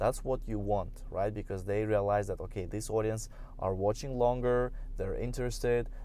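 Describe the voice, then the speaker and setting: Audible room echo around a man talking at a moderate pace. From Russia, St. Petersburg. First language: Russian. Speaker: podcaster, business and social media coach. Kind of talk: casual solo talk. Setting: in a car.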